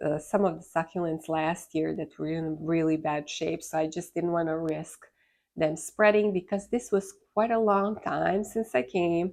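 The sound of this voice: A woman speaks with a low pitch and a slightly mellow tone. Her intonation stays fairly even, with vocal fry. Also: moderate pace.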